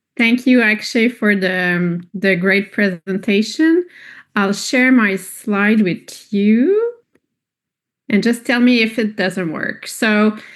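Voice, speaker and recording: A woman with a non-native accent speaks at a very slow pace with ordinary pitch variation. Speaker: pediatric radiologist. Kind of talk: lecture.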